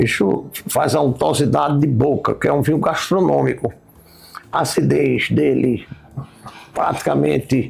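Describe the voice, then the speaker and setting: A man with a fairly low pitch pauses long and often, his pitch swinging very widely while his loudness stays very even. Noticeable background noise runs underneath. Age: 70s. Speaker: wine expert host. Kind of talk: casual chat.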